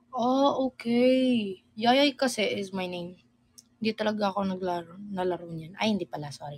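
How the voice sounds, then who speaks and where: Lively intonation and big swings in loudness mark a woman's plain, everyday voice. She speaks at a medium pitch and a fairly slow pace. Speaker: live streamer. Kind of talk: casual live stream chat.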